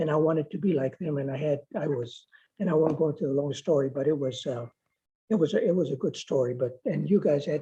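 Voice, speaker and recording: Very fast and somewhat breathy, a man's voice has a dark, mellow tone, a fairly high pitch and ordinary pitch variation. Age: 70s. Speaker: school board member, retired teacher. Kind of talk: public meeting remarks.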